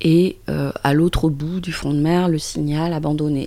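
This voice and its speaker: A woman speaks over noticeable background noise. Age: 50s. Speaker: author. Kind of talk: interview. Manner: hesitant, with frequent repetitions.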